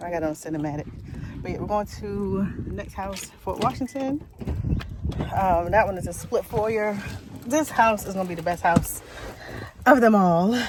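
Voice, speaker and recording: A woman's medium-pitched voice at a moderate pace, with lively intonation, big swings in loudness, long, frequent pauses and noticeable background noise. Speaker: realtor. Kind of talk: vlog narration. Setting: outdoors. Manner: whispering.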